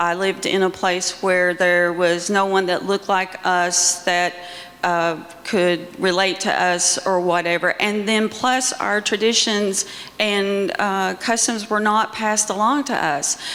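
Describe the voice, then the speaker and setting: Speaking fairly slowly at a medium pitch, a woman keeps her intonation fairly even and her loudness very even, with noticeable background noise behind her. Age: 60s. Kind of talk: panel discussion. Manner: halting.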